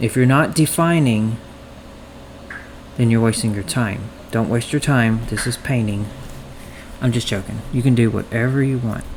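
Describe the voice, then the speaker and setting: A medium-pitched man at a moderate pace, with ordinary pitch variation and long, frequent pauses amid noticeable background noise. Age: 30s. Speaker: painting tutorial podcaster. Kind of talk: tutorial. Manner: casual, chatty.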